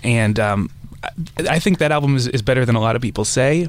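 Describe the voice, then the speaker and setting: A man's plain, everyday voice, medium in pitch, with ordinary pitch variation. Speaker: music journalist. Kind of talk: panel discussion. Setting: studio.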